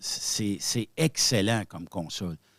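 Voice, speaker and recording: A man with a Quebec accent speaks at a very slow pace, his fairly low voice showing ordinary pitch variation. The sound is dry and close with no echo, in a very clean recording with a silent background. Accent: Québécois French. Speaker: web radio founder. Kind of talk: podcast interview. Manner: hesitant, many fillers.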